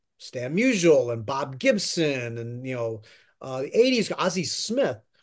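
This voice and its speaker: An ordinary speaking voice with an American accent, lively intonation and a fairly slow pace against a quiet background. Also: man. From central Pennsylvania, Harrisburg area. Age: 50s. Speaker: baseball journalist. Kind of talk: interview.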